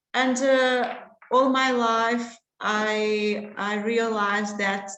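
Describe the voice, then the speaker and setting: Speaking at a very slow pace, a woman with a fairly high pitch keeps her intonation fairly even, with audible room echo around her. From Portugal. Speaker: contraception specialist doctor. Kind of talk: lecture. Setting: online webinar. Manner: halting, many fillers.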